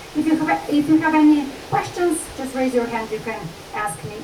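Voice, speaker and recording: This woman speaks with a strong Slovenian accent and very wide pitch swings. Audible room echo and noticeable background noise surround her voice. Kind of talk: lecture.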